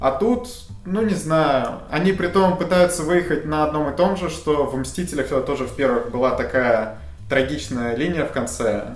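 With music in the background and audible room echo, a man speaks at a moderate pace in a fairly high pitch with lively intonation. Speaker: TV series reviewer. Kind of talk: casual chat. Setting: studio.

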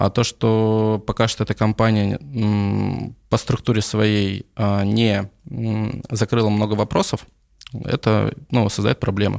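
This man speaks at a very slow pace and a fairly low pitch, with fairly even intonation and very even loudness. The sound is dry and close, with no echo. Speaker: coffee business owner. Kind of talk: casual interview.

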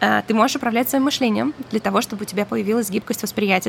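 The speaker is a woman. Noticeable background noise can be heard behind her. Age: 30s. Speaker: podcast host. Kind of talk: solo podcast talk. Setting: home by the ocean.

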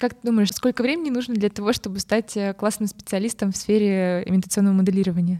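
Very fast speech comes from a woman with a dark, mellow tone and ordinary pitch variation. The sound is dry and close, with no echo. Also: medium pitch for a woman. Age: 20s. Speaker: podcast host, supply chain analyst. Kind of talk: interview.

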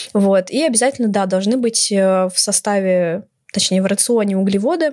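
A woman speaks in an unremarkable speaking voice at a medium pitch. Her pitch varies in an ordinary way, and her pace is moderate. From Moscow, Russia. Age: 20s. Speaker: university student. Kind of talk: podcast interview.

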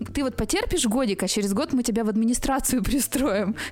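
This woman's voice is fairly high. She speaks very fast. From central Russia. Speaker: media manager and coach. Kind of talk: casual interview chat. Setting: studio.

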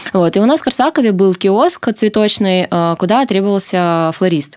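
Here is a woman with a plain, everyday voice. She keeps a medium pitch and a moderate pace. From Sakhalin, Russian Far East (Korsakov). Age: 30s. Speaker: flower shop owner. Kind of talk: interview.

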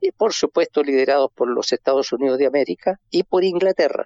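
Here is a man with a plain, everyday voice, pitched fairly high. He moves at a moderate pace with ordinary pitch variation. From Chile. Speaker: historian. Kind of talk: phone interview.

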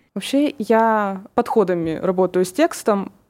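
A woman with an ordinary speaking voice talks at a fairly slow pace and medium pitch. The recording is very clean, with a silent background. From Russia, Kurgan. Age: 20s. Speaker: young writer, journalism graduate. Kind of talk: interview.

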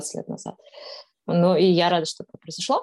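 This woman has a medium pitch and a dark, mellow tone. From Kazakhstan, Astana. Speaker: blogger. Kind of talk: interview.

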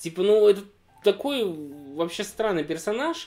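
Music plays in the background while a man talks at a moderate pace in a high pitch with very wide pitch swings. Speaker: podcast co-host. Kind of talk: casual chat. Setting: indoor room with fireplace, in person.

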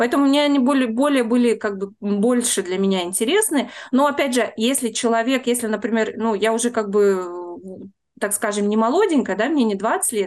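Against a quiet background, a woman uses a plain, everyday voice at a fairly high pitch. She keeps a moderate pace, very even loudness and ordinary pitch variation. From Russia, Saint Petersburg. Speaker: tour guide, emigrant. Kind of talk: interview.

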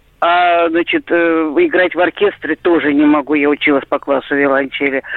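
Noticeable background noise surrounds a woman speaking at a fairly slow pace. Her pitch sits fairly low. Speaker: caller. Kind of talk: phone-in call. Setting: phone call.

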